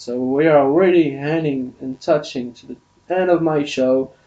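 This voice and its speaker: Talking fairly slowly, this man speaks with a French accent. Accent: non-native English, French. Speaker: podcast host. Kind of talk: solo podcast monologue. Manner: halting, many fillers and restarts.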